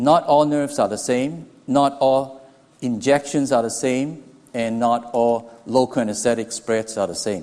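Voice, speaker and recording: A man with a Hong Kong accent, medium pitch, ordinary pitch variation and a fairly slow pace. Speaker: anesthesiology professor. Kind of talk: lecture. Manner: halting, with restarts.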